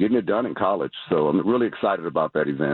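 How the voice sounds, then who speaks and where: This man's voice sits at a very deep, low pitch. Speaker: youth basketball organization governor. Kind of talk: radio interview.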